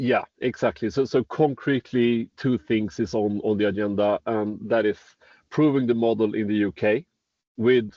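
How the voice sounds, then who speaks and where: A man in a strong Swedish accent, moderate pace and fairly even intonation. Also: medium pitch for a man. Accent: very Swedish. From Sweden. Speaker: startup executive in construction tech. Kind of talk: interview. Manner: halting, with many repeated words.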